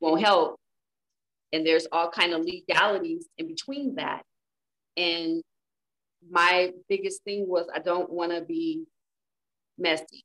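A woman with an American accent speaks at a fairly slow pace with long, frequent pauses. The sound is dry and close, with no echo. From Inglewood, California. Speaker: author. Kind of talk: casual chat. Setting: podcast recording.

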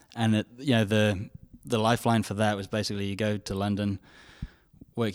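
The speaker talks with an English accent in a monotone, flat intonation at a moderate pace. The recording is very clean, with a silent background. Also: man. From England. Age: 20s. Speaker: charity volunteer. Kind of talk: casual interview.

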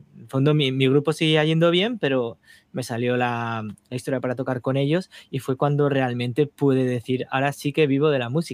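At a moderate pace, a man talks with fairly even intonation in a plain, everyday voice. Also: medium pitch for a man. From Spain, Navarre (small town). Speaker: touring keyboardist and composer. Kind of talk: casual interview.

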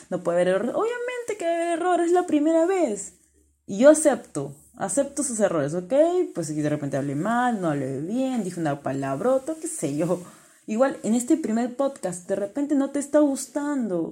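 A woman with a high pitch and a dark, mellow tone swings her pitch very widely. She talks at a moderate pace in a very clean recording with a silent background. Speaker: life coach. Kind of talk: motivational monologue.

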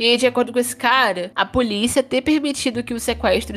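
A woman speaks at a moderate speed, and her pitch varies in an ordinary way. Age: 20s. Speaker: true crime podcast host. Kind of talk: casual storytelling chat. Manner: animated.

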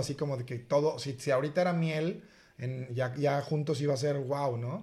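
A fairly high male voice, somewhat breathy, delivers his words with fairly even intonation. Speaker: podcast co-host. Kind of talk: casual chat.

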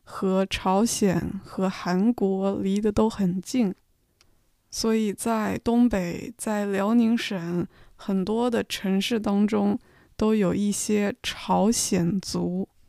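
Very slow woman's voice at medium pitch, dark and mellow in tone, with fairly even intonation, in a very clean recording against a silent background. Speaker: podcast host and Chinese tutor. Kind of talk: educational monologue for learners. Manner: slow, clear speech.

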